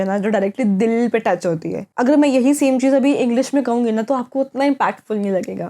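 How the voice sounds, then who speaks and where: A woman's fairly high voice with a dark, mellow tone, ordinary pitch variation and a moderate pace. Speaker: vlogger, college student. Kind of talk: casual vlog monologue.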